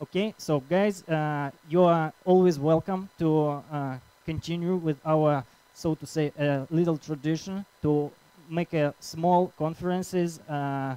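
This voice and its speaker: With a dark, mellow tone and a fairly high pitch, a man talks at a fairly slow pace with fairly even intonation in a dry, close sound with no echo. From Russia, Krasnoyarsk. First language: Russian. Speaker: conference organizer and speaker. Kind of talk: conference talk. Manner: halting.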